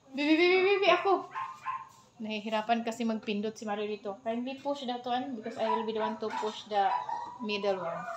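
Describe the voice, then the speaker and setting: Lively intonation against noticeable background noise. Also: woman, fairly high pitch for a woman, fairly quick pace. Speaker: cooking vlogger. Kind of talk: casual vlog chat. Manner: speaking loud on purpose.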